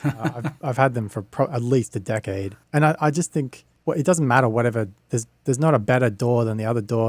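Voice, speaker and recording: Very fast speech from a man at medium pitch with ordinary pitch variation. The recording is very clean with a silent background. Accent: Australian. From Australia. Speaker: music producer and video host. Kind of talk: casual chat.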